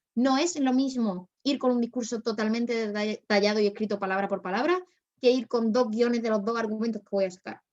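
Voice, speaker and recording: A woman's fairly high voice at a fairly quick pace, with ordinary pitch variation and big swings in loudness. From Spain, Málaga. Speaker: debate workshop instructor. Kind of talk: workshop lecture. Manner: fast.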